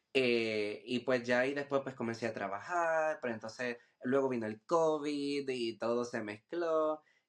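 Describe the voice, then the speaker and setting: A man's unremarkable speaking voice at medium pitch, fairly slow with hardly any pauses and ordinary pitch variation. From Puerto Rico, Humacao. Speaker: visual artist. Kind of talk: podcast interview.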